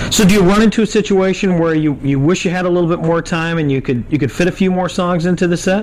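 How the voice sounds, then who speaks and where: Against noticeable background noise, a high-pitched man rattles along at a very fast pace with hardly any pauses and ordinary pitch variation. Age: 40s. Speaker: music journalist. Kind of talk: interview.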